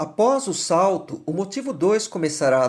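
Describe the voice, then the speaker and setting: A man speaks at a moderate pace in a high voice. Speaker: singing teacher and singer. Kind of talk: scripted music analysis lecture. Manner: formal.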